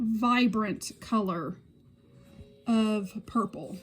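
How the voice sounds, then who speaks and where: A woman with a Southern US accent talks at a fairly high pitch, somewhat breathy. She speaks at a very slow pace. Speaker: beauty YouTuber. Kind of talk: product review tutorial. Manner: casual.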